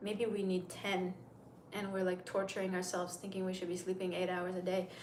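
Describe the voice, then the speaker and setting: Noticeable background noise and audible room echo fill the clip. A woman with an American accent speaks fairly quickly at medium pitch. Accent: sounds American. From Turkey, Istanbul. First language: Turkish. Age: 30s. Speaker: makeup livestreamer. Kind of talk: casual livestream chat. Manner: chatty, rambling.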